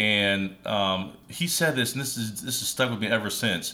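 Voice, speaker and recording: Bright and sharp in tone, a man talks at a fairly slow pace with lively intonation. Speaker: music producer and podcast host. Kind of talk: casual chat.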